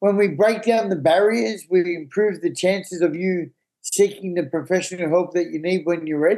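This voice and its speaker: A man's high-pitched voice in an Australian accent, dark and mellow in tone, at a moderate pace with ordinary pitch variation. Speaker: recovering addict and app founder. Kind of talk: podcast interview. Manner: animated.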